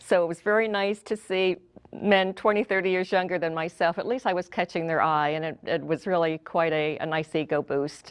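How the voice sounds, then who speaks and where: Talking at a fairly quick pace with hardly any pauses, a woman with an ordinary speaking voice has a fairly low pitch and ordinary pitch variation. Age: 60s. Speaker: customer giving testimonial. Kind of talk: testimonial.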